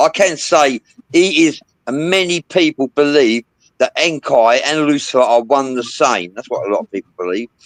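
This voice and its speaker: Sounding dry and close with no echo, a man speaks at a moderate pace in a fairly high voice with lively intonation. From England. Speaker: paranormal talk show host. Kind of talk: casual panel discussion livestream.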